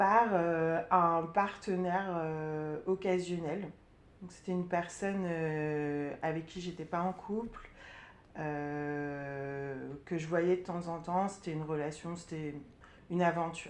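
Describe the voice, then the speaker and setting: A woman's fairly low voice at a very slow pace, fairly even in intonation, with audible room echo. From Burgundy, France. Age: 30s. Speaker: sophrologist sharing testimony. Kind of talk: testimony interview. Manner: hesitant, many fillers.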